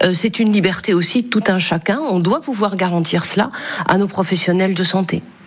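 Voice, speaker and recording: Against noticeable background noise, a woman at medium pitch keeps very even loudness, a moderate pace, and ordinary pitch variation. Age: 50s. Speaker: senator. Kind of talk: radio interview. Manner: halting.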